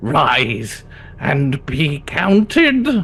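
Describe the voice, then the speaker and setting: The speaker uses a put-on character voice at a low-to-middle pitch. Light background noise is present. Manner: theatrical, exaggerated.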